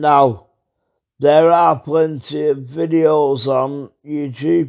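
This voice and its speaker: In a British accent, a man talks at a very slow pace with ordinary pitch variation. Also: fairly high pitch for a man. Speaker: true crime podcaster. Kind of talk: podcast narration.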